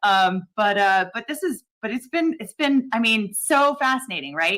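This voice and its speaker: A woman with an American accent speaks at a moderate pace, her intonation lively and her tone bright and sharp. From US, California, Lithuanian-American community. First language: Lithuanian. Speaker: legal commentary streamer. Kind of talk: casual panel chat on a livestream. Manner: halting, many repeated words.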